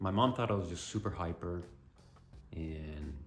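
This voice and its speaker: Over music in the background, a man with a very deep, low voice talks at a fairly slow pace, with audible room echo. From Colombia and Canada. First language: Spanish. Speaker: vlogger and musician. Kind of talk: personal vlog monologue. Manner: casual with many fillers.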